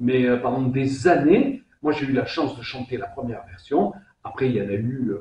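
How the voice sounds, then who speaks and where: A man at a medium pitch with a Provençal accent, at a fairly slow pace. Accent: southern French (Provence). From southern France, Vaucluse. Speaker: singer. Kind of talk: interview. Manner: hesitant, many repetitions; animated.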